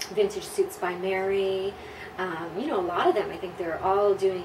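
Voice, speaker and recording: A woman with an American accent speaks at a moderate pace and with fairly even intonation against noticeable background noise. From US Southwest / California (El Paso, Texas and Los Angeles). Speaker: pin-up model. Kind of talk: interview answers. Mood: relaxed, warm. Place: home room.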